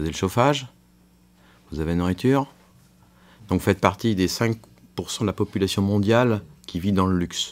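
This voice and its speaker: A man with a fairly low pitch and ordinary pitch variation speaks with big swings in loudness and long, frequent pauses. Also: moderate pace. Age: 60s. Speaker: physician. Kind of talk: counseling conversation. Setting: prison radio show recording.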